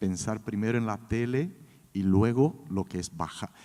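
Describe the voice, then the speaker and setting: Speaking at a fairly slow pace, a man with a Brazilian accent uses a fairly low pitch with ordinary variation. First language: Portuguese (speaking Spanish). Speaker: creative director. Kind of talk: panel discussion.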